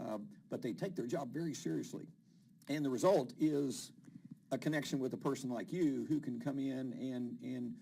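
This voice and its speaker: A man with a West Virginia accent speaks at a moderate pace in a medium pitch, his tone dark and mellow and his pitch varying in an ordinary way. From West Virginia, Huntington. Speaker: TV show host. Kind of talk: interview.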